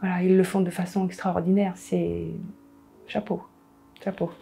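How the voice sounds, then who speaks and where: Music plays behind a woman as she talks. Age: 60s. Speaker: cancer patient. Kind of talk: testimony. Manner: halting.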